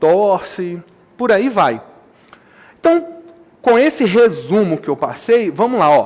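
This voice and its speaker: A man speaks in an animated tone at a moderate pace. His pitch is extremely high, with lively intonation. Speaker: math teacher. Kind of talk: lecture.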